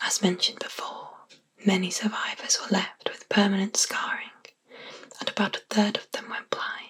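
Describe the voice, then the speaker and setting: A woman whispers. She has a British accent. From England. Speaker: ASMR artist. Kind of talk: sleep story. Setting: binaural microphone. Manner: whispered.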